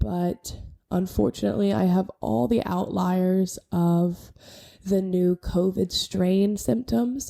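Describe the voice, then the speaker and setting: Against a silent background, the recording is very clean. A woman talks at a very slow pace. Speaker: podcast co-host, nurse. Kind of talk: casual rant. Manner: slow, with fillers.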